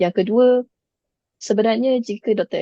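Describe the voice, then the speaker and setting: A woman's dark, mellow voice moves at a moderate pace with fairly even intonation, recorded dry and close with no echo against a quiet background. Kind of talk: online panel Q&A. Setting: video call. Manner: hesitant, many fillers.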